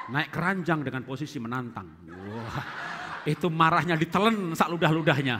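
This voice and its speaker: A man with an animated tone and a fairly high pitch with ordinary variation speaks at a moderate pace, with long, frequent pauses and noticeable background noise. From Central Java, Indonesia (Solo); Central Java, Indonesia. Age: 50s. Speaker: pastor and marriage teacher; pastor, marriage teacher. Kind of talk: seminar teaching. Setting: stage with audience. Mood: cheerful, joking. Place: church. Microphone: headset.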